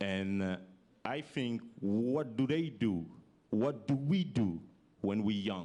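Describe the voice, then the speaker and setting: In a French accent, a man with a medium pitch and a dark, mellow tone speaks very slowly with lively intonation and long, frequent pauses. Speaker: youth entrepreneur, former basketball player. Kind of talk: panel talk. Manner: halting.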